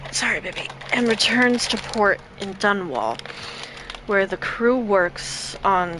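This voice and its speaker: Against noticeable background noise, a woman speaks very slowly at a medium pitch with ordinary pitch variation. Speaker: video game streamer. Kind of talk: live stream gameplay with reading game text aloud. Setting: live stream.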